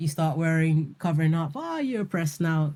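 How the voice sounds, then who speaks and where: Someone with a London accent and a dark, mellow tone is heard on a very clean recording with a silent background. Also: woman. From London, UK. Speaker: spoken word poet. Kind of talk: interview answer. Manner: casual, conversational.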